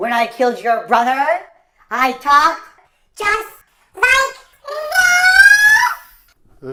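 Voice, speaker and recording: A put-on character voice, high and shrill, shouting with very wide pitch swings. It moves at a very slow pace with long, frequent pauses. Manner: menacing, taunting.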